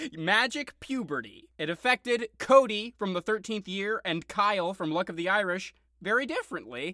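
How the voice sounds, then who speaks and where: In a very clean recording with a silent background and a dry, close sound with no echo, a man uses a raised, projected voice of high pitch, with a bright, sharp tone, lively intonation, a moderate pace and hardly any pauses. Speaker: podcast host. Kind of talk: casual banter podcast chat.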